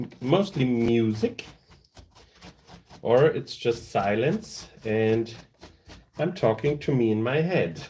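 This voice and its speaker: A medium-pitched man with a German accent, very slow, with lively intonation and long, frequent pauses. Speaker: tabletop terrain crafter, streamer. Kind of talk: live stream tutorial. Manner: casual, halting.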